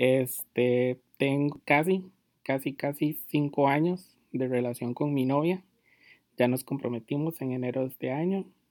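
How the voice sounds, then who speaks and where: With a Costa Rican accent, a man talks at a fairly slow pace, fairly high pitch and fairly even intonation. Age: 20s. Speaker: fashion blogger and podcast host. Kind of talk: casual monologue.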